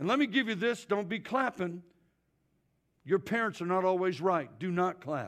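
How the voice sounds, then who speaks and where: A man with a high pitch speaks at a moderate pace with lively intonation and long, frequent pauses. The recording is very clean, with a silent background. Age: 60s. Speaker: traveling evangelist. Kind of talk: sermon. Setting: church with congregation. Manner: animated.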